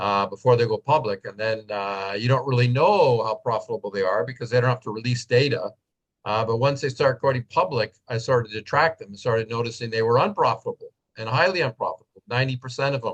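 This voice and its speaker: Speaking very fast, a man with a medium-pitched, somewhat breathy voice shows ordinary pitch variation. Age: 60s. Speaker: professor and technology analyst. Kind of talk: interview webinar talk.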